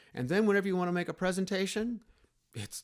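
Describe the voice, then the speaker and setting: A man at a very fast pace. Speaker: computer skills instructor. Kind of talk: tutorial.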